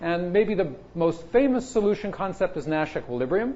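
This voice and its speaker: Lively intonation marks this high-pitched man's speech, with audible room echo around him. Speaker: computer science professor. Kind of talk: lecture. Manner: fast.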